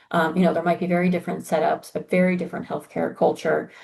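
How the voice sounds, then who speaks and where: This is a woman with a fairly low pitch. Her voice is somewhat breathy. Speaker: university exchange program staff. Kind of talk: orientation presentation. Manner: conversational with frequent fillers.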